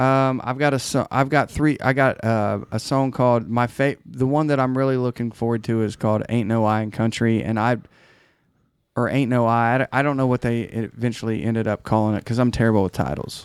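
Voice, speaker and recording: Fairly quick in pace, a man with an unremarkable speaking voice talks at medium pitch with fairly even intonation on a very clean recording with a silent background. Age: 40s. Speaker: songwriter. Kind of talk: casual chat.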